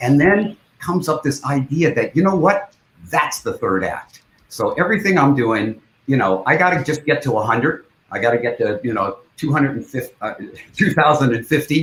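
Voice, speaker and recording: An American-accented man speaks at a moderate pace in an animated tone, fairly high-pitched with lively intonation and vocal fry. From US West Coast (Culver City, California). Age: 70s. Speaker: film director and rock musician. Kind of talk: interview.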